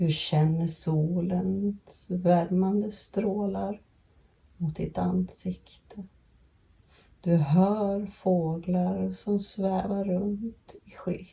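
At a very slow pace, a woman speaks with a medium pitch, fairly even intonation and a somewhat breathy, dark, mellow, calm and soothing tone. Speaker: podcast host and grief guide. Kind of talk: guided meditation. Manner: slow, calm, soothing, gentle pacing with long pauses; warm, empathetic, reassuring.

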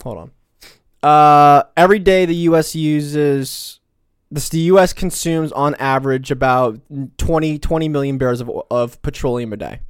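A man talks at a moderate pace in a fairly high voice, with big swings in loudness. The recording is very clean, with a silent background. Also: ordinary pitch variation. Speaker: podcast co-host. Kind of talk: casual political commentary. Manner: halting, repeats words.

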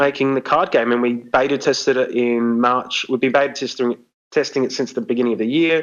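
Here a man talks with an Australian accent at a fairly quick pace. His pitch is medium, with ordinary variation. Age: 30s. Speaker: artist and card game designer. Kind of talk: casual interview.

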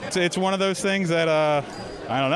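A high-pitched man's voice in an American accent, over noticeable background noise. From Florida. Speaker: bartender, cocktail competitor. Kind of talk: interview at live event.

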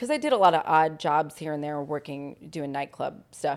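A woman with an American accent has a normal speaking voice and talks at a moderate pace with fairly even intonation. The recording is very clean, with a silent background. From Long Island, New York, then North Carolina from age ten. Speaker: fitness trainer and nonprofit worker. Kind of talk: casual interview, life story. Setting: home living room with dogs.

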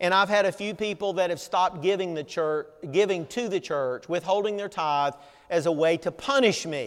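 In a Southern US accent, a man speaks at a high pitch and a moderate pace with ordinary pitch variation. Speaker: pastor. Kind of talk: sermon. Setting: church.

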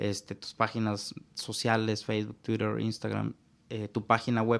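This man's speech carries a Mexican accent. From Mexico. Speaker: digital marketing consultant. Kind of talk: interview.

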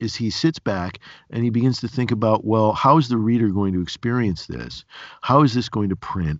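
Upstate New York shows in this man's accent. He speaks at medium pitch and a moderate pace. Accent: upstate New York American. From Binghamton area, upstate New York. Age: 50s. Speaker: podcast host and cartoonist. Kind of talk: casual interview conversation.

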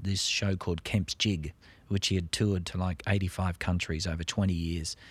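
A man with an Australian accent and a very deep, low voice is heard in a very clean recording with a silent background. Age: 50s. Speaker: stage actor. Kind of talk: casual interview.

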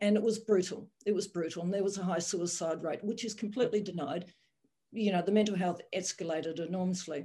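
At a very fast pace, a woman speaks in a medium-pitched, somewhat breathy voice with a dark, mellow tone. Her intonation stays fairly even. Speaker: general practitioner. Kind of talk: roundtable discussion.

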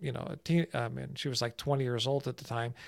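A man with an American accent talking very fast with fairly even intonation, in a very clean recording with a silent background and a dry, close sound with no echo. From New Jersey, US. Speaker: stress prevention expert. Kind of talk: casual interview.

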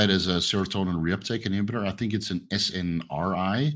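At a moderate pace, a normal speaking voice moves with ordinary pitch variation. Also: man. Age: 30s. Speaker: fitness coach and YouTuber. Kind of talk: casual interview. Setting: video call.

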